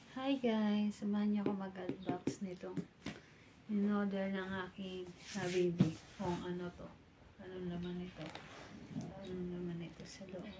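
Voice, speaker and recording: A soft-spoken woman with fairly even intonation, long, frequent pauses and big swings in loudness, over noticeable background noise. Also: medium pitch for a woman, moderate pace. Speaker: vlogger. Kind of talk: casual unboxing vlog.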